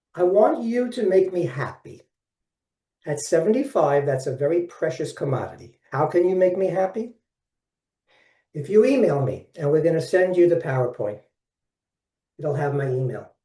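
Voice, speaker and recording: A man with an American accent, high in pitch, with a dark, mellow tone, lively intonation and long, frequent pauses. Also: moderate pace. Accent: Brooklyn accent, comes out now and then. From Brooklyn, New York. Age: 70s. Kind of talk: webinar presentation. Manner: animated.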